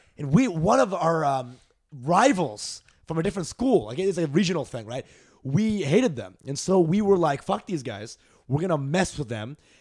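This man, speaking with an American accent, has a fairly high pitch and very wide pitch swings. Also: moderate pace. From Texas (Dallas). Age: 20s. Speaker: comedian. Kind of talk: casual chat.

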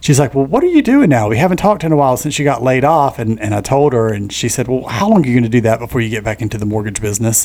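A man talks at a very fast pace with an American accent. Noticeable background noise runs underneath. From US South, eastern North Carolina (Onslow County). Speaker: podcast co-host and mortgage lender. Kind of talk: casual chat.

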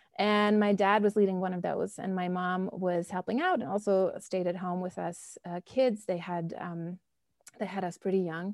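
A woman with a German accent, medium pitch, fairly even intonation and a moderate pace. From Germany, Bonn. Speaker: professor. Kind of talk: interview.

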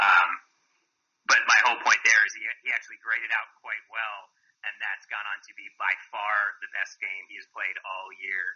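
A man talks at a moderate pace with big swings in loudness. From Massachusetts, Boston area. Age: 40s. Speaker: actor and football analyst. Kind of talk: casual chat. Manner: halting, many fillers.

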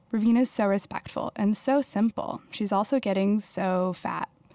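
In a plain, everyday voice with an American accent, a woman speaks at a medium pitch and a moderate pace. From Houston, Texas. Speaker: writer and artist. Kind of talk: reading aloud.

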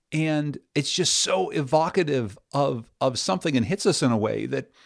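Lively intonation and vocal fry from a man with a fairly high pitch, on a very clean recording with a silent background. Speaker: radio host. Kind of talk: interview for a radio show.

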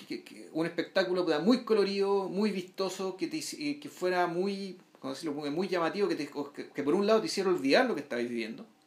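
A man at a high pitch with a Chilean accent, fairly quick pace, lively intonation and big swings in loudness over noticeable background noise. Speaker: film podcast co-host. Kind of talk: casual film discussion.

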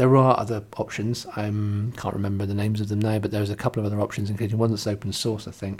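In an English accent, a man speaks very fast and in a flat monotone. The recording is very clean, with a silent background. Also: fairly low pitch for a man, hardly any pauses. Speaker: coworking space owner and podcast host. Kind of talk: solo podcast monologue. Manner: casual with many fillers.

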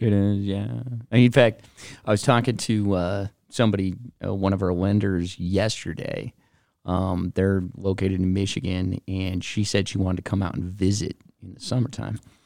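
The man has an ordinary speaking voice with a fairly low pitch. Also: fairly even intonation, moderate pace, big swings in loudness. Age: 40s. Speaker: podcast co-host. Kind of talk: casual chat.

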